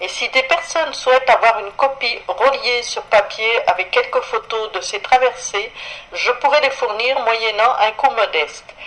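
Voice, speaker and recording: A high-pitched woman at a fairly slow pace with ordinary pitch variation, amid noticeable background noise. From France, Paris. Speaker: radio columnist. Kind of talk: radio chronicle, scripted travel narration. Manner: formal.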